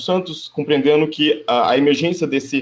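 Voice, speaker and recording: Here a man talks in a fairly high pitch. He keeps a moderate pace. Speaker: geography professor. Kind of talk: conference presentation. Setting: video call. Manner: hesitant, many filler sounds.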